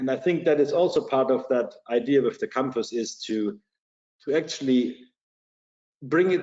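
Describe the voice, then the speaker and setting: In a German accent, the speaker moves at a moderate pace with ordinary pitch variation. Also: man. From Germany, Bavaria. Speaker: security company executive. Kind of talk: podcast interview. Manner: halting, many repetitions.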